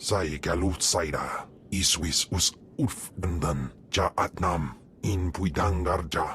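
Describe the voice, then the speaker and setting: A man's put-on character voice, very deep and low, at a fairly slow pace over clear background noise. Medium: video game. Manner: guttural, speaks alien language.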